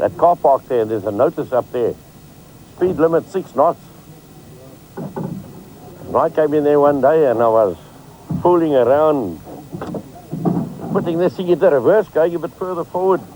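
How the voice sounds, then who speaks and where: A man's fairly high voice at a moderate pace, with ordinary pitch variation, long, frequent pauses and noticeable background noise. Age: 60s. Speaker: fisherman and boat designer. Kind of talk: casual chat.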